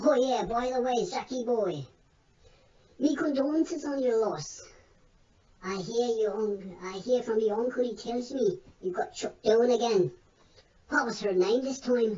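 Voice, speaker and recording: A female-sounding voice speaks in a put-on character voice with a fairly high pitch. The pace is moderate, with long, frequent pauses. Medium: read story. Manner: folksy, colloquial.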